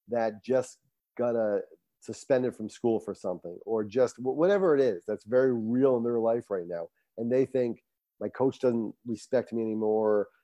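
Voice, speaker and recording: A man talks in a normal speaking voice at a medium pitch and a fairly quick pace, with ordinary pitch variation. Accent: American. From Rhode Island, US. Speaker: coach and motivational speaker. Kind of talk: casual interview.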